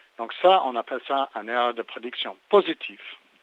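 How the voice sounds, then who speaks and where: A man speaks with a slight English accent. His pitch is medium. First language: English (speaking French). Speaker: neuroscience researcher. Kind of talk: interview. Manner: halting, many repetitions and hesitations.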